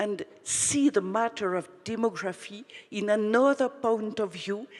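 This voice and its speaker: A woman speaks at a very slow pace with lively intonation and a medium pitch. Noticeable background noise sits behind her. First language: not English. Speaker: audience member asking a question. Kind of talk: audience question. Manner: halting.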